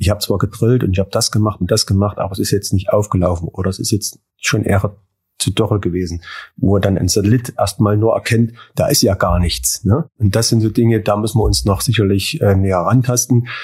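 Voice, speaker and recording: A man talks at a fairly quick pace with a fairly low pitch and ordinary pitch variation. His voice is somewhat breathy, and the loudness stays very even. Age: 40s. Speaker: farm manager. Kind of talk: interview.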